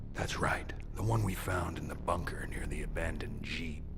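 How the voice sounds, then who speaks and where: Whispering in a cartoonish character voice, a man is heard over loud background noise. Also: moderate pace. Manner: taunting, cold.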